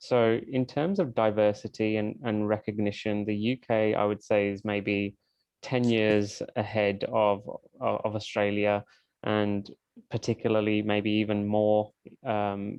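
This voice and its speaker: A man in a British accent speaks at a fairly slow pace. His pitch is fairly low and his intonation monotone and flat. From UK. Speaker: event moderator. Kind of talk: online panel discussion.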